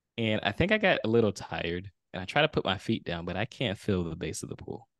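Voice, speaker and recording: A man with an ordinary speaking voice talks at a fairly quick pace and a fairly low pitch, with lively intonation. The sound is dry and close with no echo against a quiet background. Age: 30s. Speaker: video storyteller and author. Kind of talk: interview storytelling.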